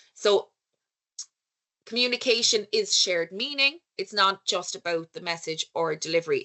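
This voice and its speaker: This woman speaks with an Irish accent. Her pace is moderate. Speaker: conference speaker on research leadership. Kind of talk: lecture. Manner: conversational, with filler words.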